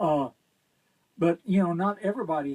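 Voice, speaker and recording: A man with a Texas accent talks in a high voice with lively intonation. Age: 70s. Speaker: guitarist and guitar teacher. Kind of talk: casual interview chat. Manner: halting.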